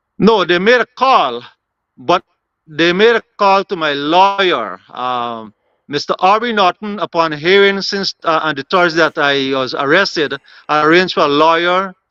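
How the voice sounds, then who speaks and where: The dry, close recording with no echo captures a man's high-pitched voice in a bright, sharp tone. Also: lively intonation, moderate pace. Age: 60s. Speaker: political activist. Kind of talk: interview testimony.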